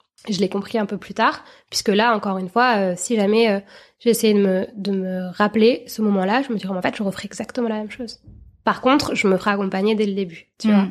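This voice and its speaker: On a very clean recording with a silent background, a woman speaks at a fairly quick pace. Hers is a normal speaking voice, medium in pitch, with fairly even intonation. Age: 30s. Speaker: journalist and new mother. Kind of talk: interview testimony.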